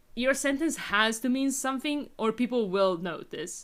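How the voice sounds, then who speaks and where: A woman with an Italian accent speaks in a bright, sharp tone with lively intonation. The recording is very clean, with a silent background. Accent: noticeable Italian. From Italy. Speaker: gaming streamer. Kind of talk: casual chat. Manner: halting, many fillers and restarts.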